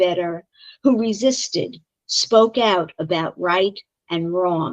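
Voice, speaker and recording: A woman speaks with a Brooklyn accent. Her pace is very slow, and her pitch varies in an ordinary way. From Brooklyn, New York. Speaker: poet. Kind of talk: poetry reading.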